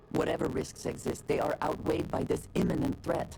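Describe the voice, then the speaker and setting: Clear background noise sits behind a put-on character voice delivered at a fairly quick pace. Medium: video game.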